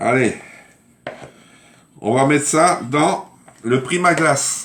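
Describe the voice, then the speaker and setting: Audible room echo surrounds a man speaking very slowly at a fairly high pitch. His loudness stays very even, with ordinary pitch variation. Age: 60s. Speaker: cooking livestreamer. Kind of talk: live cooking stream chat. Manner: chatty, informal.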